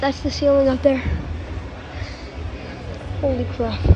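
A woman talks at a moderate pace. Crowd noise fills the background. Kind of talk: casual vlog chat. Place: gym. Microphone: phone near.

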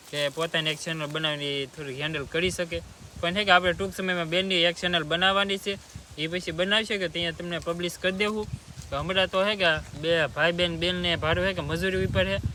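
The man speaks at a high pitch with fairly even intonation. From Gujarat, Bhavnagar district (Mahuva). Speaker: vlogger and farmer. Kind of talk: casual Q&A vlog.

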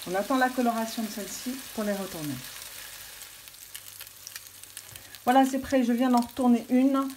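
Against light background noise, the voice moves at a moderate pace with fairly even intonation. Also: woman. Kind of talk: cooking tutorial. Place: kitchen.

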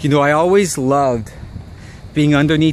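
A man speaks with ordinary pitch variation, his voice dry with no echo over light background noise. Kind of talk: reflective vlog narration. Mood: nostalgic, wistful. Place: street. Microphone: phone near.

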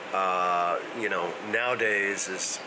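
With noticeable background noise around him, a man talks at a very slow pace. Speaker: family history vlogger. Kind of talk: casual vlog chat. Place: home room. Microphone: phone near.

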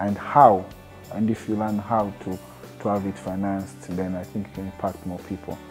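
Clear music plays in the background as a man talks at a moderate pace, his fairly low pitch held in fairly even intonation. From Tanzania. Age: 30s. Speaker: TV presenter and producer. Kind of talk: interview answer. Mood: calm, earnest. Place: meeting room. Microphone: lapel.

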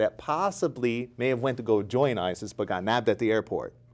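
In an American accent, a man speaks at a moderate pace. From US, small farm town. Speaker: youth counselor, former navy sailor; guest. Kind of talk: interview. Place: studio. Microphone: lapel.

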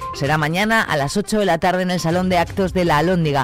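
The speech runs at a fairly quick pace, with a dry sound with no echo and faint music in the background. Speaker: radio news presenter. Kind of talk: news reading. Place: studio.

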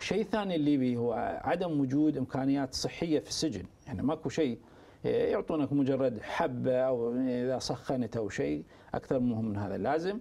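Lively intonation marks this man's speech at a medium pitch. His tone is dark and mellow, and his pace is moderate. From Iran. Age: 40s. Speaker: political activist and stage actor; stage actor. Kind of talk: interview. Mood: serious, measured. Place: studio. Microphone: lapel.

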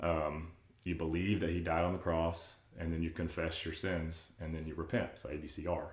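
A man speaks at a moderate pace in a very deep, low voice, somewhat breathy. His intonation is monotone and flat, and the room echo is audible. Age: 30s. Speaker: churchgoer sharing faith story; podcast guest. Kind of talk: casual chat. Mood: earnest, reflective storytelling. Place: home room.

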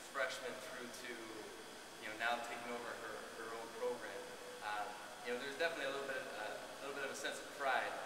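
Loud background noise surrounds a man speaking at a moderate pace. Room echo is audible. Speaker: new college coach. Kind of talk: press conference answer. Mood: proud, warm, smiling. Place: hall. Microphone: podium.

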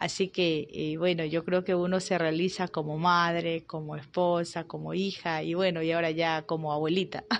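A woman's fairly low, monotone voice with flat intonation and hardly any pauses, over light background noise. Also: moderate pace. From Ecuador, Arenillas, El Oro; El Oro, Ecuador. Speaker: politician. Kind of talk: interview. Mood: warm, reflective. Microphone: handheld.

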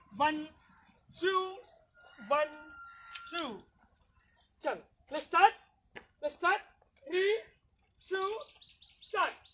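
Someone with an Indian accent speaks very slowly in a warm tone. Long, frequent pauses come through over light background noise. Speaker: fitness instructor. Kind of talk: live online fitness class, leading a workout. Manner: brisk rhythmic rep counting, commanding cues; encouraging, warm, code-switching Hindi and English. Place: open country. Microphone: camera far.

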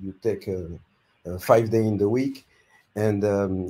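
This man has a fairly low pitch and a dark, mellow tone. His intonation stays fairly even. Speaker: YouTube growth consultant. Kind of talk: giving advice on a live stream. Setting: video call. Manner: halting.

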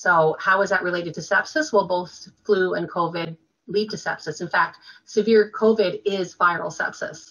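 A woman with a Canadian accent talks at a moderate pace in an unremarkable speaking voice. Her pitch is medium with ordinary variation, over a quiet background. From Quebec, Canada. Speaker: nurse and health writer; interview guest. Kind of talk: interview. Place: home room. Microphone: webcam.

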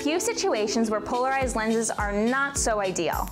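Over clear background music, a woman with a New Jersey accent speaks fast-ish in a high pitch with an upbeat, playful tone. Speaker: brand video host. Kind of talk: explainer to camera. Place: studio. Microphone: lapel.

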